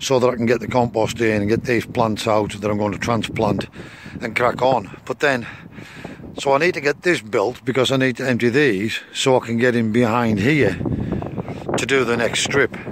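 Fairly even intonation comes through a dry sound with no echo and noticeable background noise. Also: man, moderate pace. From UK. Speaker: allotment gardening vlogger. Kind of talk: casual vlog talk to camera. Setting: outdoors at allotment, later in shed. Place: garden. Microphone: phone near.

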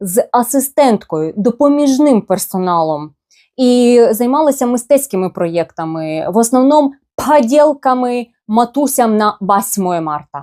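On a very clean recording with a silent background, a woman with a high pitch and a dark, mellow tone speaks at a very slow pace with very wide pitch swings. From eastern Ukraine, Luhansk. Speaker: blogger. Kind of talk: personal storytelling.

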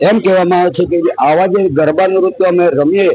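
This man's voice sits high in pitch. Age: 60s. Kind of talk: street interview.

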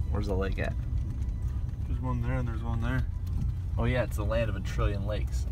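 A man talks fairly quickly over clear background music. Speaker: vlogger. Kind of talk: casual vlog chat. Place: car. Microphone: phone near.

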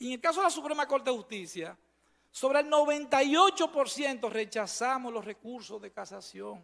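This voice has a bright, sharp tone, lively intonation and big swings in loudness, moving at a fairly slow pace over a quiet background. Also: man, extremely high pitch for a man. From Dominican Republic. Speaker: supreme court judge. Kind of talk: formal testimony at a performance evaluation hearing. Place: hall. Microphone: podium.

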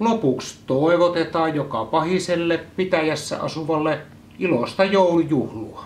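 The speaker has a Central Finland accent and talks at a fairly slow pace. Pitch variation is ordinary, with light background noise. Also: man, high pitch for a man. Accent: Joutsa local Finnish dialect. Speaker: newspaper editor-in-chief. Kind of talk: ceremonial proclamation reading. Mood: solemn, mock-formal. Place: home room.

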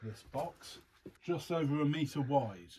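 A man speaks slowly in a dark, mellow tone with a slightly husky edge and ordinary pitch variation.

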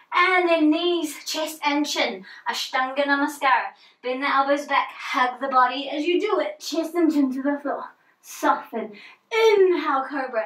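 In a quiet background, a woman talks at a fairly slow pace with a high pitch. Audible room echo surrounds her voice. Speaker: yoga instructor. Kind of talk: guided yoga class with spoken cues, pose by pose. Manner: calm, encouraging, steady, relaxed and instructive; gentle, unhurried, with soft informal asides. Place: home room. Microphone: camera far.

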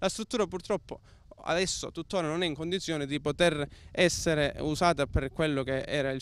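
The sound is dry, with no echo. A man speaks at a fairly quick pace with ordinary pitch variation. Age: 20s. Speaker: local politician. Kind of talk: interview. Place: open country. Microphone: handheld.

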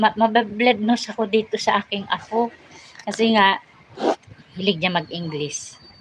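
Over noticeable background noise, a woman with a fairly high pitch and an animated tone talks at a fairly slow pace with ordinary pitch variation and long, frequent pauses. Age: old. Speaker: vlogger. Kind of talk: casual live stream chat.

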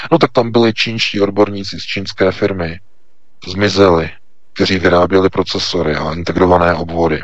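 A man with a very deep, low pitch, a fairly quick pace and fairly even intonation. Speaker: news portal editor-in-chief. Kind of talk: political commentary. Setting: Skype call.

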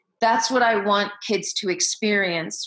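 A woman with a Midwestern American accent speaks at a fairly slow pace in a bright, sharp tone. Her intonation is fairly even, the background is quiet, and room echo is audible. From US Midwest, Iowa. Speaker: education leader and keynote speaker; keynote speaker. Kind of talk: interview. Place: home room. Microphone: webcam.

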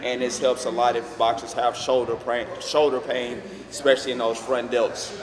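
Over noticeable background noise, a man speaks at a moderate pace in a monotone, flat voice. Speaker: fitness trainer. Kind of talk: tutorial. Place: gym.

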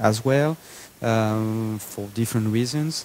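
A man talks with a French accent and fairly even intonation. Light background noise sits behind him. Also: dry sound with no echo. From France. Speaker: entrepreneur; guest. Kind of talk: fireside chat interview. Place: hall. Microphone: handheld.

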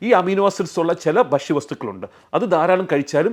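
A man's voice carries vocal fry. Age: 40s. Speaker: doctor. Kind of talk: health explainer to camera.

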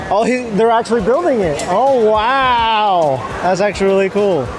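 A fairly slow pace, dry sound with no echo, and noticeable background noise. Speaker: vlogger holding camera. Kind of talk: casual vlog chat. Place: street. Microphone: phone near.

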